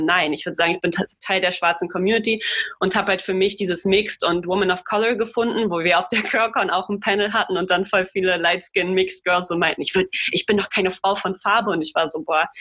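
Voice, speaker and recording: Noticeable background noise is present. Over it, a woman speaks fairly quickly. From Germany. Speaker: podcast co-host. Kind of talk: casual discussion.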